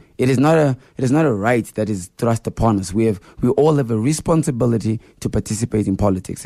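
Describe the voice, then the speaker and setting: Dry and close with no echo, a man's dark, mellow voice at medium pitch races along at a very fast pace with ordinary pitch variation. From Zimbabwe, Harare area. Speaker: politician. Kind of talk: radio interview. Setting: studio.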